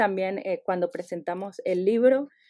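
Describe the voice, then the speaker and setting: Fairly slow female speech in a dark, mellow tone, with ordinary pitch variation. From Venezuela. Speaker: literature professor. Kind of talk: interview. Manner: halting, many repeated words.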